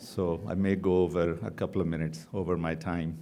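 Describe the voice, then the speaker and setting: A man with a non-native accent and a dark, mellow tone speaks amid audible room echo. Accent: foreign accent, noticeable. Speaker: oncologist. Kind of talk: conference lecture. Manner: fast.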